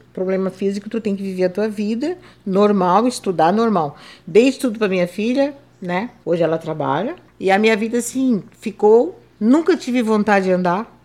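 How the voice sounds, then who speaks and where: In an unremarkable speaking voice, a woman talks at a moderate pace and medium pitch with lively intonation. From southern Brazil, Santa Catarina coast. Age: 60s. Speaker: retired civil servant and seamstress, wheelchair user. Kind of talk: interview testimony.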